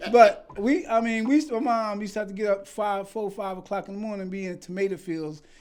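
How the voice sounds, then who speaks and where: A man with an American accent speaks in an animated tone at a very fast pace, with hardly any pauses. His pitch is high with ordinary variation, and his loudness swings widely. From South Jersey, US. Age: 60s. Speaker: filmmaker and entrepreneur. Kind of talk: podcast interview. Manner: casual, animated storytelling.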